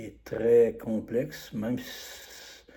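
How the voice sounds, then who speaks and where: In a Quebec accent, a man talks at medium pitch with a dark, mellow tone. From Quebec, Trois-Rivières. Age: 70s. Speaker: course participant giving a testimonial. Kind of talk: testimonial. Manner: halting, many hesitations.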